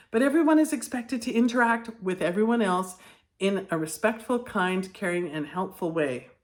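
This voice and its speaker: Lively intonation marks a woman's talk, which proceeds at a moderate speed. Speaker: teacher trainer, former classroom teacher. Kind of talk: educational video talk. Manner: partly reading from notes.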